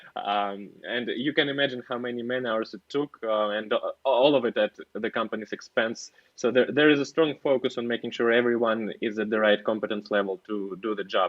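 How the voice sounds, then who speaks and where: With a non-native accent, the speaker moves at a fairly quick pace using fairly even intonation. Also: man. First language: not English. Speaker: software engineer. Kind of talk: casual interview. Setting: podcast. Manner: halting, many fillers.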